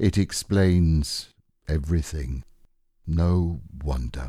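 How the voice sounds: A man uses a put-on character voice with an extremely low pitch and a dark, mellow tone with a slightly husky edge. He speaks slowly on a very clean recording with a silent background. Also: ordinary pitch variation.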